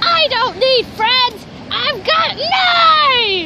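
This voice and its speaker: A woman puts on a character voice with an extremely high pitch, speaking at a very slow pace. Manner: angry, shouting.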